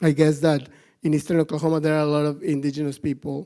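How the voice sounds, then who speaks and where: A man speaks with a Mexican accent. His voice sits at a fairly high pitch and has a dark, mellow tone. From northern Mexico, Monterrey. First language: Spanish. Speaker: animal rights activist. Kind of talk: conference talk. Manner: halting, many fillers and repetitions.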